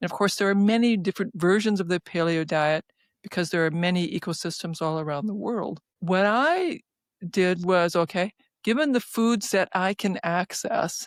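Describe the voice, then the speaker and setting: Here a woman speaks at a moderate pace and medium pitch, with ordinary pitch variation. The sound is dry and close with no echo, on a very clean recording with a silent background. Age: 60s. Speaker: physician and researcher. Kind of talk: interview. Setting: podcast. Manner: halting.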